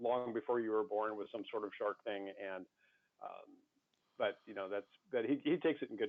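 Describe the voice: The background is quiet while someone does plain reading aloud.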